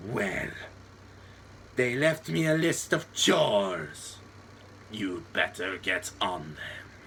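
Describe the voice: Clear background noise sits under a man's put-on character voice, fairly low in pitch with very wide pitch swings. He goes at a very slow pace, pausing often and at length.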